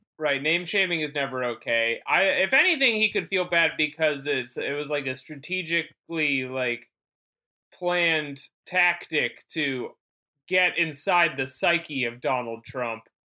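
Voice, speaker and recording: At a fairly slow pace, a man with an unremarkable speaking voice talks at a fairly high pitch with ordinary pitch variation. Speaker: comedian. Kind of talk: casual chat.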